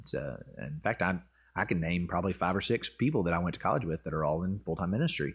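With a Southern US accent, a man speaks very fast in a very deep, low voice, his pitch varying in an ordinary way over a silent background on a very clean recording. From US South, Arkansas. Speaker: pastor. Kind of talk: casual chat. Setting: in person.

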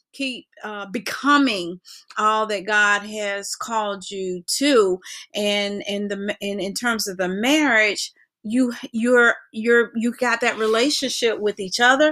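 Speaking at a very slow pace, a woman with an American accent has a fairly high, bright, sharp voice and ordinary pitch variation. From North Carolina. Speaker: pastor's wife, ministry co-founder. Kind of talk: casual chat.

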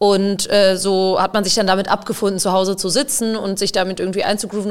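A woman's ordinary speaking voice at a medium pitch and a fairly quick pace. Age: 20s. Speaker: field hockey player and psychologist. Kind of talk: casual interview conversation.

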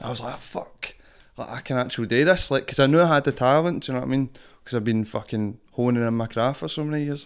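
Speaking very fast at medium pitch with ordinary pitch variation, a man is heard on a very clean recording with a silent background. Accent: strong Glasgow. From Glasgow, Scotland. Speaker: rapper and performing artist. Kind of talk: casual interview chat. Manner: casual, swears a lot, filler phrases.

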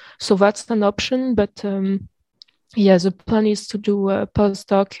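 A woman with a French accent speaks at a medium pitch in a dark, mellow tone. The sound is dry and close, with no echo. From Reunion Island. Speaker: neuroscience PhD student. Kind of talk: casual interview. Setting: video call. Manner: halting.

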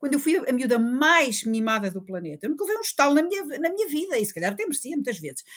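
The speaker is a woman with a high pitch. She talks at a very fast pace. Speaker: forensic doctor. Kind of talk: interview.

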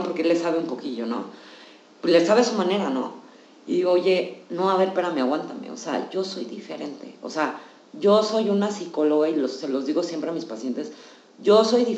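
There is noticeable background noise and audible room echo. A woman speaks at a fairly quick pace and medium pitch. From Mexico. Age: 40s. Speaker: psychologist. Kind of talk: casual chat.

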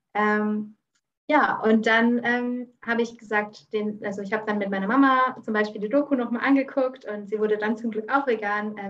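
Her voice sits fairly high for a woman and holds a moderate pace. The intonation stays flat and monotone. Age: 20s. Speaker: vegan cooking expert. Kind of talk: interview.

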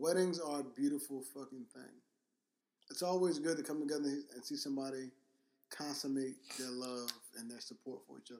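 Soft-spoken and fairly high-pitched, a man with a dark, mellow tone talks at a fairly quick pace, his loudness swinging widely around long, frequent pauses. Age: 30s. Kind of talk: casual chat. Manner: animated.

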